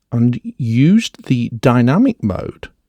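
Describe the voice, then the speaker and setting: The voice has a Northern English accent and a dark, mellow tone with lively intonation. The sound is dry and close, with no echo. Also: man. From northern England. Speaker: audio software reviewer. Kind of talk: tutorial.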